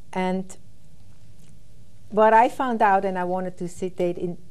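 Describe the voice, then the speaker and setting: A woman speaks with a Swiss accent and a dark, mellow tone. Room echo is audible. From Switzerland. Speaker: spiritual environmental activist. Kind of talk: interview.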